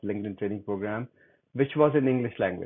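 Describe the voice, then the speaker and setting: A man with a Pakistani accent. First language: Urdu. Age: 60s. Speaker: LinkedIn coach. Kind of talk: interview.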